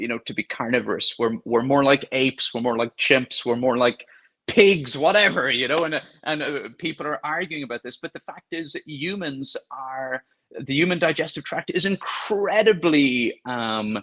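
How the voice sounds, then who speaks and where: Dry and close with no echo, a man with a Cork accent speaks at a moderate pace in a bright, sharp tone, his fairly high pitch moving with lively intonation. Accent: Irish (Cork). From Ireland, County Cork. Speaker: gastroenterologist doctor. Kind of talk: podcast interview answer.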